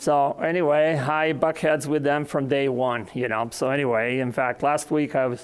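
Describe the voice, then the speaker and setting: With a non-native accent, a man talks at a moderate pace in a fairly high pitch. His loudness stays very even, and his intonation is fairly even. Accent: noticeable foreign. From Serbia. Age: 60s. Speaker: agronomy professor. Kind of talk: conference presentation.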